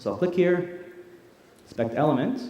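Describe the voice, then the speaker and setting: A man speaks very rapidly. Noticeable noise and an audible room echo come through along with his voice. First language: Arabic. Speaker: tech company product presenter. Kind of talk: live product demo presentation. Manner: casual, conversational; loud.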